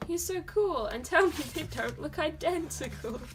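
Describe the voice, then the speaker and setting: A woman with lively intonation at a moderate pace, over noticeable background noise. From Dorset, England. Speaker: artist YouTuber. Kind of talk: casual vlog, sketchbook tour. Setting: at home, filming at desk. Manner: talkative, chatty.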